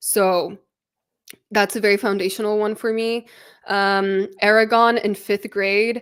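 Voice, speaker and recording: Pausing long and often, a woman talks at a fairly slow pace in a medium pitch, her intonation monotone and flat. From Poland, raised at international school in UK. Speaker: book content creator. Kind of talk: casual interview chat. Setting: live stream video call. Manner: casual, with many fillers.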